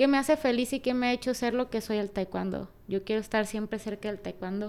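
A woman speaks in a normal speaking voice, her pitch fairly high and varying in an ordinary way. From Mexico, Culiacán, Sinaloa. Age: 20s. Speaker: former Olympic taekwondo athlete. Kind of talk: interview. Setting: office.

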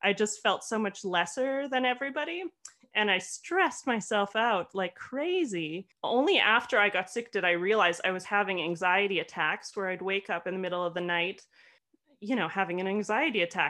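Woman with a normal speaking voice, medium pitch and a Canadian accent, at a moderate pace. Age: 30s. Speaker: podcast co-host with chronic fatigue. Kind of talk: casual chat.

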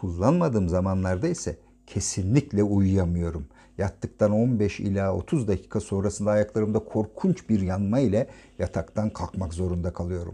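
This man talks at a moderate pace with a fairly low pitch, a dark, mellow tone and ordinary pitch variation. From Turkey, Ankara. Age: 50s. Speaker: podcaster, retired naval officer. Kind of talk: personal diary narration.

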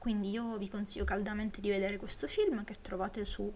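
There is noticeable background noise behind this woman speaking at a medium pitch. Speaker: podcaster. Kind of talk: solo podcast film review. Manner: slightly slurred articulation; hesitant, many fillers.

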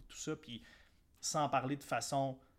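In a Quebec accent, a man speaks at a moderate pace with a medium pitch. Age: 30s. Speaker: entrepreneur podcast host. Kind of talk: solo motivational podcast monologue. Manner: casual, with hesitations and repeated words.

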